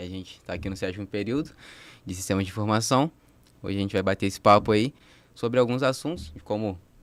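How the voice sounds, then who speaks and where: Very fast yet broken by long, frequent pauses, a man's fairly low voice has ordinary pitch variation. His loudness swings widely. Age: 20s. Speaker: university student, podcast co-host. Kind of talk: casual chat.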